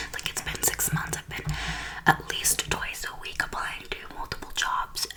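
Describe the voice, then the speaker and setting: A woman whispers over noticeable background noise. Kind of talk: ASMR get-ready-with-me whispering and life update. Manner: whispered, soft-spoken.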